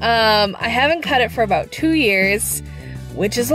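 Clear music plays in the background while a woman speaks at a fairly slow pace. The sound is dry, with no echo. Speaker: vlogger. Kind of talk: casual vlog chat. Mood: cheerful, a bit nervous. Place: car. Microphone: phone near.

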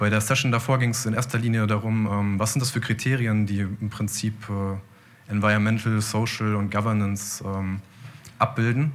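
A man speaks at a moderate pace with a fairly low pitch. His intonation is monotone and flat. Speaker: audience member. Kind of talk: audience question. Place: hall. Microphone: handheld.

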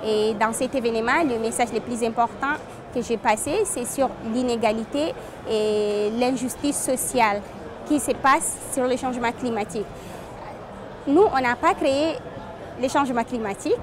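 A woman with a high voice talks at a fairly slow pace, leaving long, frequent pauses. Her pitch varies an ordinary amount, the sound is dry with no echo, and background noise is noticeable. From Chad. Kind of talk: interview statement. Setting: climate conference. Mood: earnest, determined. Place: hall.

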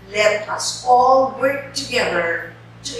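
A woman's voice in a room with strong echo and light background noise. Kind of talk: official message speech. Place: office.

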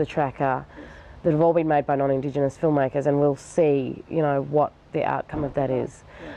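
A woman's very deep, low voice in an Australian accent, fairly quick and flat in a monotone, with a dry sound and no echo. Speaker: filmmaker. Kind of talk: interview answer. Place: garden. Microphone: lapel.

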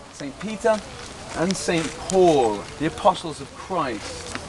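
Over noticeable background noise, a man talks in a fairly high pitch. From British. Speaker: tour guide. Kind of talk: guided tour talk to a group. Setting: outdoors. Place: open country. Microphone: camera far.

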